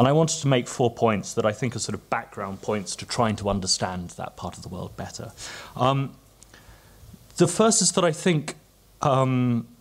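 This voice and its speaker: Someone with an English accent speaks at a moderate pace with lively intonation and big swings in loudness. Long pauses come often. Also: man, medium pitch for a man. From England. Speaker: policy analyst. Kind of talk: conference panel talk. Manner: halting, many fillers and repeats.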